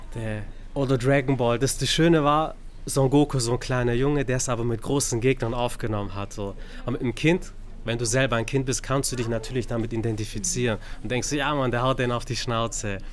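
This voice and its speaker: Someone speaks at a fairly quick pace with fairly even intonation in a normal speaking voice. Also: man, medium pitch for a man. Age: 30s. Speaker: podcast host. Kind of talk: casual chat. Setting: bookstore.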